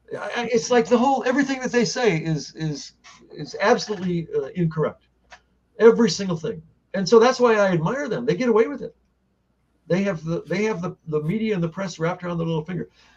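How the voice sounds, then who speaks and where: Talking at a very fast pace, a man with a high pitch uses lively intonation. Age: 70s. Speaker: libertarian gubernatorial candidate. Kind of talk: interview. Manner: halting.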